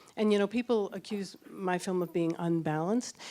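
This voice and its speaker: This woman's voice sits fairly low, with a dark, mellow tone. She talks at a moderate pace. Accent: American. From US Northeast, Boston. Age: 60s. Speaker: doctor and documentary filmmaker. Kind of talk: audience Q&A answers; narration. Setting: public event with audience. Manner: hesitant, many fillers.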